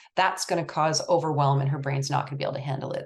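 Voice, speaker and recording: A woman's voice is somewhat breathy and very deep, with a low pitch. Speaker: research nonprofit executive director and presenter. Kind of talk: presentation. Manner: fast.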